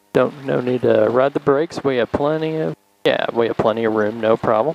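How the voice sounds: The sound is dry and close, with no echo. A man speaks with vocal fry. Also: medium pitch for a man, ordinary pitch variation, moderate pace.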